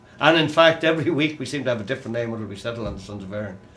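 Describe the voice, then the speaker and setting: A man with a Dublin accent at a very fast pace, his intonation lively. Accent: Dublin Irish. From Ireland, Dublin. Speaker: folk musician. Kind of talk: casual chat. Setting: studio.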